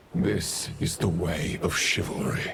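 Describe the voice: Over faint background noise, a man does a put-on character voice that is low and fairly bright in tone, with vocal fry, ordinary pitch variation and a slow pace.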